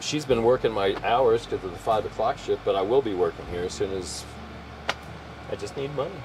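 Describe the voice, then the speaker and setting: Noticeable background noise sits behind the speech. A man with an American accent and a medium pitch talks at a fairly quick pace. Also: lively intonation. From California. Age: 70s. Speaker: RV vlogger. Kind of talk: casual chat. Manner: halting. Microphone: poor microphone.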